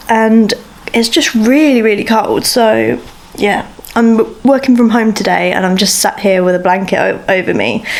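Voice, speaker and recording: Against noticeable background noise, a woman speaks at a fairly high pitch with very even loudness. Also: ordinary pitch variation, moderate pace. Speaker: book vlogger. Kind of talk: vlog. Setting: at home. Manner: casual, chatty; soft-spoken.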